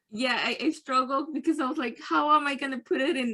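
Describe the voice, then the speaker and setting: A woman with a Spanish accent speaks in a raised, projected voice. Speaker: workshop participant. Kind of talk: casual chat. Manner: halting.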